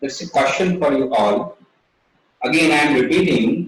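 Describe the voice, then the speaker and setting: A man speaks with an Indian accent. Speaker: Ayurveda speaker at webinar. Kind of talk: lecture. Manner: slow.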